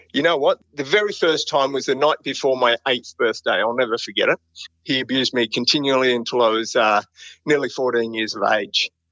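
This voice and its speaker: With an Australian accent, a man speaks at a moderate pace, his medium pitch showing ordinary variation. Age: 50s. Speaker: private investigator. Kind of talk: interview. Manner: casual.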